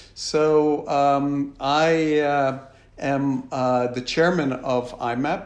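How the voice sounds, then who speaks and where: In a room with audible echo, a man talks at a medium pitch with fairly even intonation. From United States. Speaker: business executive. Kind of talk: interview. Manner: hesitant, many fillers.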